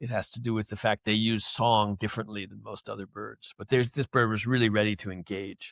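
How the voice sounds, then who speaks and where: In a very clean recording with a silent background, a man talks in an ordinary speaking voice at medium pitch and a fairly quick pace, with a dry, close sound and no echo. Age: 60s. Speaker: philosopher and clarinetist, author. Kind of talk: casual chat.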